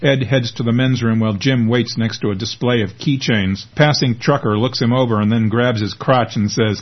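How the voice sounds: Fairly even intonation in a natural reading voice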